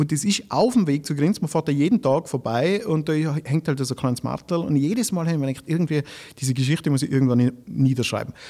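This man speaks at a very fast pace. His intonation is lively. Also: fairly high pitch for a man. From Austria, Tyrol (village of Grins). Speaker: cabaret artist and comedian. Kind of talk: casual interview.

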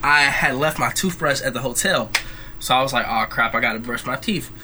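Music sits in the background as a man speaks. His pitch is fairly high and his intonation lively. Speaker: college student. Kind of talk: casual chat.

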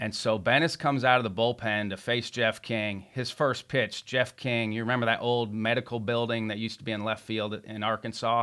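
Very clean recording, silent background: a man speaks fairly quickly with hardly any pauses. His medium-pitched voice has a bright, sharp tone and monotone, flat intonation. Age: 40s. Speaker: podcast host. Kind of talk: interview. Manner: halting.

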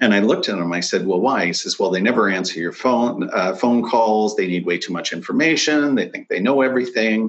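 A man speaks in a normal speaking voice at a medium pitch with ordinary pitch variation. He moves at a fairly quick pace with hardly any pauses. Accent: Canadian. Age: 40s. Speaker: financial planner. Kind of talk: interview.

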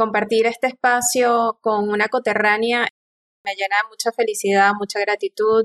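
The sound is dry and close, with no echo. A woman speaks at a moderate pace, fairly high and in a flat monotone. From eastern Venezuela, El Tigre. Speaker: geoscientist and doctoral student. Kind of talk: interview.

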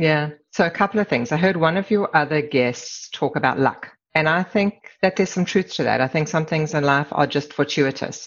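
Very deep and low in pitch, a woman speaks with a South African accent. Her loudness stays very even, with ordinary pitch variation. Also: moderate pace. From South Africa, Durban; moved to Canada at 17. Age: 50s. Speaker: corporate immigration lawyer. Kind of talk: casual interview.

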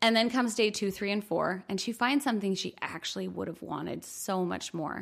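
A woman speaks at a medium pitch with ordinary pitch variation in an unremarkable speaking voice. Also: very clean recording, silent background. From New York, US. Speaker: podcast co-host. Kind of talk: casual chat.

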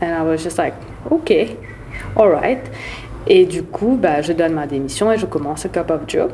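Her pitch is fairly low for a woman, and her intonation is lively at a moderate pace. She leaves long, frequent pauses over noticeable background noise. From Mauritius. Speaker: podcast guest, former baker and student. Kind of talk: casual chat, code-switching French and English.

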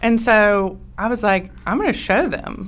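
A woman with a Southern US accent, vocal fry and a fairly slow pace. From US South, rural Georgia. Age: young. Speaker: business owner, equipment dealer. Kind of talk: interview. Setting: studio.

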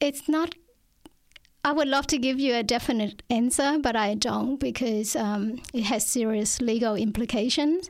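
The voice keeps a moderate pace with ordinary pitch variation. Its loudness stays very even. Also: woman, high pitch for a woman. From Vietnam. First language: Vietnamese. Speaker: author. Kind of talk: interview. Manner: hesitant.

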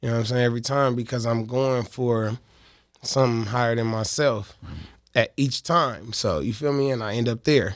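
A man's plain, everyday voice at medium pitch, with an American accent, fairly even intonation and a moderate pace, on a very clean recording with a silent background. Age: 30s. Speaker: rapper. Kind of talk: casual interview. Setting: studio.

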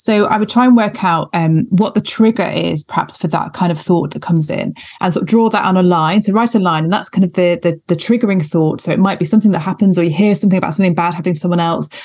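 A woman talks at a very fast pace with hardly any pauses. Noticeable background noise runs under her voice. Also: medium pitch for a woman, ordinary pitch variation. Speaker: GP and podcast co-host. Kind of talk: casual panel chat.

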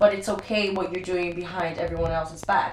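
A woman at a fairly slow pace against noticeable background noise. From Brazil. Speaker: professional dancer. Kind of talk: casual chat. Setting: at home. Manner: loud.

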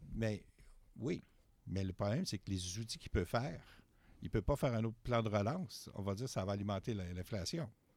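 On a very clean recording with a silent background, a man speaks at a fairly quick pace with a fairly low pitch, ordinary pitch variation, and long, frequent pauses. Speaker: university professor of political economy. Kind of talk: interview. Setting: studio.

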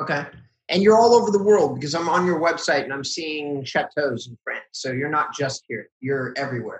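This man's fairly high, somewhat breathy voice moves at a fairly quick pace, with lively intonation and big swings in loudness. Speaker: co-host, real estate marketing founder. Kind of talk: casual interview.

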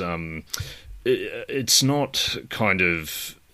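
A man with an Australian accent, a fairly low pitch, a bright, sharp tone and very wide pitch swings. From Australia, New South Wales. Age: 30s. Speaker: podcast host. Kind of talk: casual chat.

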